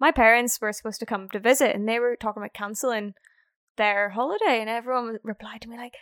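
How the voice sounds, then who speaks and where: A woman with a Northern Irish accent talks at a fairly quick pace and a fairly high pitch. The sound is dry and close, with no echo. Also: very clean recording, silent background. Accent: Northern Irish (Belfast). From Northern Ireland, Belfast. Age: 20s. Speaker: snowboard instructor and van life vlogger. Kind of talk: casual interview chat. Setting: face-to-face recording.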